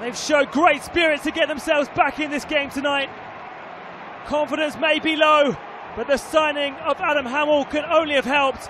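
A man speaks in a raised, projected voice at an extremely high pitch. His intonation is monotone and flat, with noticeable background noise. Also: moderate pace. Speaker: football match commentator. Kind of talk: live sports commentary on a football match, highlights voiceover.

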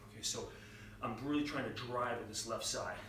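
Against noticeable background noise and audible room echo, a man talks at a very fast pace with monotone, flat intonation. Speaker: fitness trainer. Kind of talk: workout tutorial. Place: gym. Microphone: camera far.

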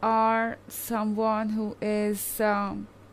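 A woman's monotone, flat delivery. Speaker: tarot reader. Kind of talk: tarot reading commentary. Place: home room. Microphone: phone near.

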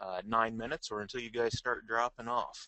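Speaking at a moderate pace with fairly even intonation, a man has an ordinary speaking voice at a medium pitch. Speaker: webinar moderator. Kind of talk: online webinar announcements. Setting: online webinar.

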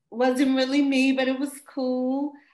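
A woman with an American accent speaks at a high pitch. The background is quiet, but room echo is audible. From US Midwest, St. Louis, Missouri; Missouri. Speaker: dancer; interviewee. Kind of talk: interview. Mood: warm, reflective. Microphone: webcam.

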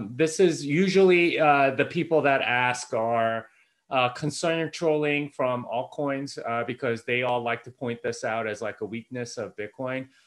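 He speaks at a fairly slow pace with ordinary pitch variation. The background is quiet. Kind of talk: casual chat. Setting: video call. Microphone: video call.

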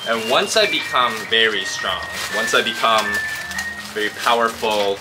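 Music in the background behind a man's fairly slow speech. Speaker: vlogger. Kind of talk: casual vlog chat. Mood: motivated, philosophical. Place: garden. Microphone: camera far.

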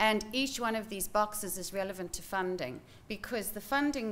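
The speech moves at a fairly quick pace. Its pitch variation is ordinary. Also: woman. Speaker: presenter. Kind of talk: lecture. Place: hall. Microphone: podium.

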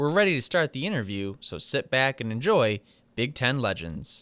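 A man speaks with lively intonation in a plain, everyday voice. The background is quiet. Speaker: sports show host. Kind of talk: interview.

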